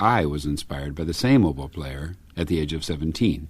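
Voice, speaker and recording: This is a man with an American accent. He talks at a moderate pace with lively intonation. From US. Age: 60s. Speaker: orchestral oboist. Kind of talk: radio interview. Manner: hesitant, many fillers.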